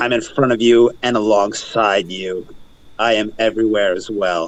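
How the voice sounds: Using a raspy put-on character voice at a fairly low pitch, a man speaks at a moderate pace.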